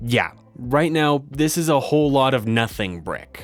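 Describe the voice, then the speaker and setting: A man with an unremarkable speaking voice, fairly slow pace and ordinary pitch variation. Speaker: electronics maker YouTuber. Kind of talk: narrated build tutorial.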